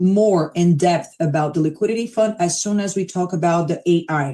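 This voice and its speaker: A woman talks with a dark, mellow tone and ordinary pitch variation. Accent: Brazilian. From Brazil, São Paulo. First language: Portuguese. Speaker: crypto platform presenter. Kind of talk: live stream presentation. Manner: casual, conversational.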